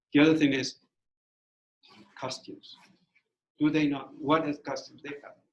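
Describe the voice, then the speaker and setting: A man's fairly high, monotone, flat voice with a non-native accent, at a moderate pace, with big swings in loudness and long, frequent pauses. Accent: foreign accent, lasting. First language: Spanish. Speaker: former bilingual teacher, guest speaker. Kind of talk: talk to student teachers. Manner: halting, repeats words.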